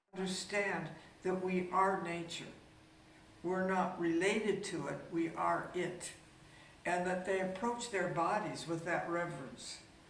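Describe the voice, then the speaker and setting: A woman talks at a fairly slow pace with fairly even intonation over noticeable background noise. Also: medium pitch for a woman. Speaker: dancer, choreographer and teacher. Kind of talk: interview answer.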